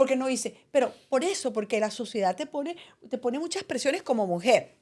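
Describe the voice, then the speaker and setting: Pitch swings very widely at a moderate pace in this very clean recording with a silent background. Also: woman. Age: 70s. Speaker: retired journalist and podcast co-host. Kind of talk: casual chat.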